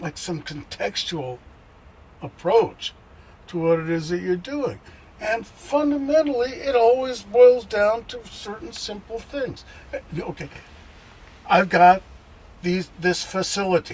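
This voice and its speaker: A man with a high pitch talks at a fairly slow pace, with very wide pitch swings and long, frequent pauses. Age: 70s. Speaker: bass player. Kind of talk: interview. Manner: halting.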